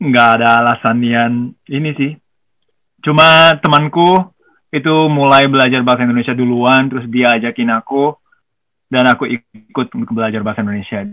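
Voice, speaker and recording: With a Japanese accent, a man speaks at medium pitch and a fairly quick pace, using ordinary pitch variation. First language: Japanese (speaking Indonesian). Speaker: musician. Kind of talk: casual chat.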